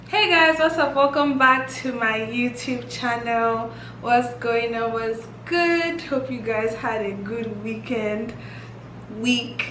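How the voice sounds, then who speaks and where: Against noticeable background noise and audible room echo, a woman speaks at a very slow pace with a fairly high pitch. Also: ordinary pitch variation. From Nigeria. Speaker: YouTuber. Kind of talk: casual vlog chat. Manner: animated.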